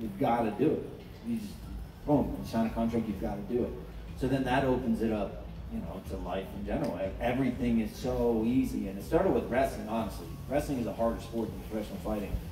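Noticeable background noise and audible room echo fill the space. Through it, a man rushes along at a very fast pace. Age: 30s. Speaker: former UFC fighter. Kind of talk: panel discussion. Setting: live event panel with microphones. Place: tent.

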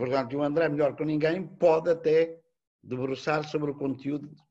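Over a quiet background, a man with a dark, mellow tone talks at a moderate pace and a fairly high pitch with fairly even intonation. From Portugal. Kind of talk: formal academic commentary. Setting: video call. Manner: formal. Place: home room. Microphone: webcam.

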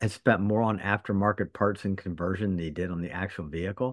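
Very fast speech in a dry sound with no echo over a quiet background. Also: man. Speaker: podcast co-host. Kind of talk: casual podcast chat. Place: home room. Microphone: earbuds.

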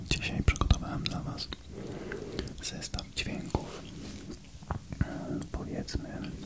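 A man speaks at a very slow pace with long, frequent pauses. Loud background noise runs underneath. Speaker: ASMR creator. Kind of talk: ASMR whispering. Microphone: studio mic.

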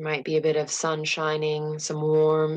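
Very slowly and in a calm, soothing tone, a woman speaks with a very deep, low pitch. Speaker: meditation guide. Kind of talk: guided meditation. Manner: slow, calm and soothing, with long pauses; soft, gentle, unhurried.

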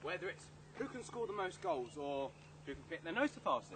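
A man's upbeat voice at a fairly quick pace, with noticeable background noise. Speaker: children's TV presenter auditionee. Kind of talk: children's TV presenter double-act audition. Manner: upbeat, cheeky. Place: street. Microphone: camera far.

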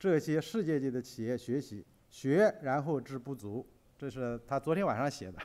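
A man speaks at a moderate pace with a Chinese accent. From China. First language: Mandarin Chinese. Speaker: business magazine editor; conference speaker. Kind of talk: conference presentation. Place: hall. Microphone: podium.

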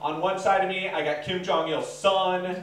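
There is light background noise. Audible room echo can be heard too. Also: man. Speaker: stand-up comedian. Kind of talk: stand-up comedy routine. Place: garage.

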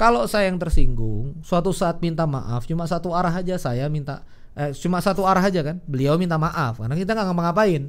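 At a moderate pace, the speaker sounds animated, with lively intonation. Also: man. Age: 30s. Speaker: Islamic preacher and business mentor; Islamic preacher. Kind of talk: religious business lecture. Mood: calm, relaxed, advising. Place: studio. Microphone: studio mic.

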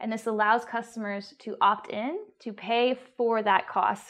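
A woman with a fairly high pitch speaks at a fairly slow pace in a monotone, flat intonation. The background is quiet. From UK. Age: 30s. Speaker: coding student and intern; interviewee. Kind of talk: interview. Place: home room. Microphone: lapel.

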